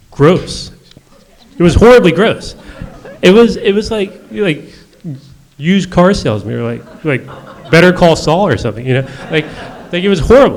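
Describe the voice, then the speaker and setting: The speaker's pitch swings very widely at a moderate pace, broken by long, frequent pauses, with audible room echo and noticeable background noise. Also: man, high pitch for a man. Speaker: magazine editor and author. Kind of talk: panel conversation.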